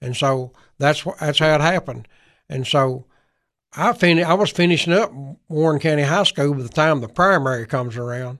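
With a Tennessee accent, a man speaks at a fairly quick pace in a fairly high pitch with ordinary pitch variation over a quiet background. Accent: Southern US (Tennessee). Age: 70s. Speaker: former state legislator and county government official. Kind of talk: radio interview. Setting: radio studio.

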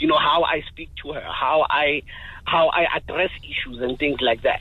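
A man with a fairly high pitch keeps a moderate pace amid noticeable background noise. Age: 30s. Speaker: caller. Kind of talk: phone-in call. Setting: phone call.

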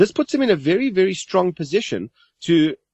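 The man has an unremarkable speaking voice and keeps a moderate pace. He uses lively intonation. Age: 40s. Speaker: money coach. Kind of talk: podcast interview.

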